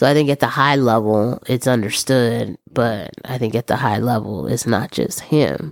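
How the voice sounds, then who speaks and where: Vocal fry marks this voice. The background is silent on a very clean recording. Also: woman. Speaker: podcast co-host. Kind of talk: casual chat.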